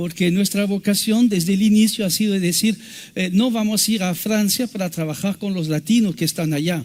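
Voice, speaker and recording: A high-pitched man speaks in a French accent at a fairly quick pace with ordinary pitch variation. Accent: French accent in Spanish, non-native. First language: French (speaking Spanish). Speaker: missionary preacher. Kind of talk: sermon. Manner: halting.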